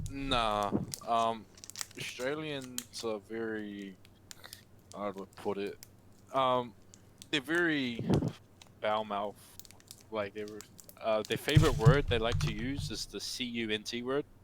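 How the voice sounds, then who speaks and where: A man at a medium pitch talks at a fairly slow pace with ordinary pitch variation, long, frequent pauses and big swings in loudness. Noticeable background noise runs underneath. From New Zealand. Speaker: gamer being coached. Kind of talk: casual chat. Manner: hesitant, many fillers.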